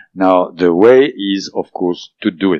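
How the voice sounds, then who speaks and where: Over music in the background, a man talks at a moderate pace in a fairly low pitch. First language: not English. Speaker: author of a book on alien contact. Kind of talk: interview. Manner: hesitant, many fillers.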